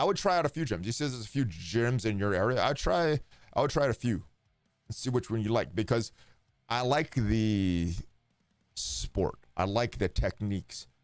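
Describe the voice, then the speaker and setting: Music plays in the background as a man speaks at a moderate pace. His intonation is lively, broken by long, frequent pauses. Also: medium pitch for a man. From Hawaii. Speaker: game streamer. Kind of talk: casual chat. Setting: live stream.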